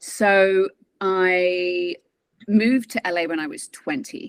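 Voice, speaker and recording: The woman speaks with a British accent at a medium pitch. The sound is dry and close, with no echo. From England. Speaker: transformation and mindset coach, former actress. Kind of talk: interview testimony.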